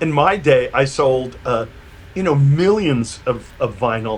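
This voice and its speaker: A fairly high-pitched man with a New York accent and ordinary pitch variation. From New York, Brooklyn. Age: 60s. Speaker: electronic musician and producer. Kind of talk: interview. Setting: video call. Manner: halting, many repeated words.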